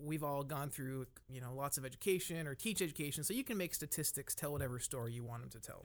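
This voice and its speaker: On a very clean recording with a silent background, a man in a plain, everyday voice talks at a fairly quick pace, his fairly high pitch showing ordinary pitch variation. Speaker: university professor, career coach. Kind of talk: casual conversation with some teaching. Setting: studio.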